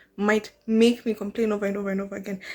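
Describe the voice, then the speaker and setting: A woman with a Kenyan accent speaks at a very fast pace in a very clean recording with a silent background. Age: 20s. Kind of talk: casual talk to camera. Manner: conversational, animated.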